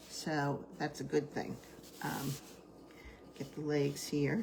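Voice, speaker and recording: A woman with a New Jersey accent, very deep, low pitch and vocal fry, talking at a very slow pace. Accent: New Jersey American. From US Northeast, New Jersey. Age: 70s. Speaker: crafter, retired teacher. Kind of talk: live craft tutorial with chat. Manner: casual, chatty with filler words.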